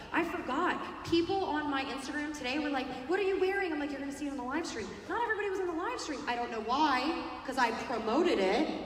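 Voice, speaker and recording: A woman with a high pitch talks at a very fast pace in an animated tone with lively intonation, amid audible room echo and noticeable background noise. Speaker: network marketing speaker. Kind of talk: motivational talk. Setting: stage with audience.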